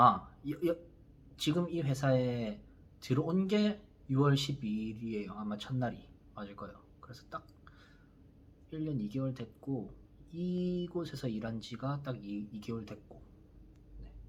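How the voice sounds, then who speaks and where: Speaking with a Busan accent, a man at a medium pitch moves at a fairly slow pace with long, frequent pauses, lively intonation, big swings in loudness and a somewhat breathy quality. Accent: Busan dialect (Gyeongsang). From South Korea, Busan. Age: 30s. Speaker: YouTuber, construction worker. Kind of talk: casual vlog monologue. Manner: hesitant, many fillers.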